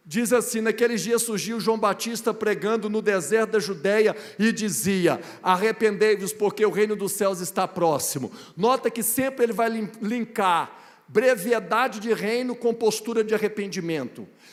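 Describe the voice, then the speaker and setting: A man with a high voice speaks at a moderate pace, his intonation fairly even. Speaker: guest preacher. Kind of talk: sermon. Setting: church.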